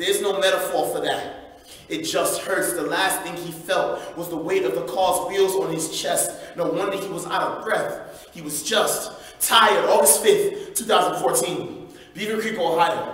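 A man's voice at a moderate pace, with audible room echo. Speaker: spoken word poet. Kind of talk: live spoken word poetry performance. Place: church.

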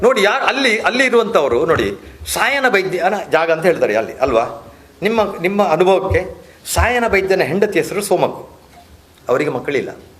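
Over noticeable background noise, a man talks in an animated tone with a high pitch and lively intonation. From India, Tulu Nadu, Bantwal taluk. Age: 60s. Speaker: community activist. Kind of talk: interview.

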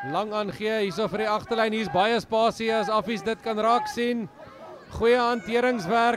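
A man with a South African accent talks at a moderate pace, his pitch high and his intonation fairly even. Noticeable background noise runs underneath. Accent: South African Afrikaans-accented. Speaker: rugby match commentator. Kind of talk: live sports commentary. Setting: stadium, broadcast of a school rugby match.

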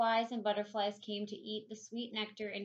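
Reading aloud, plain

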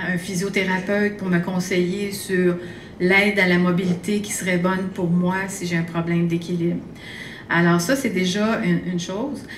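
A woman speaks in a flat monotone at a medium pitch and a moderate pace. There is audible room echo and light background noise. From Quebec. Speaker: occupational therapist and researcher; conference speaker. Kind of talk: lecture. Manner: halting. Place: hall. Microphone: podium.

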